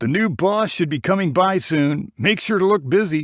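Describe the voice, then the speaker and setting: On a very clean recording with a silent background, a man puts on a character voice at a high pitch, with lively intonation and a moderate pace. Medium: read story.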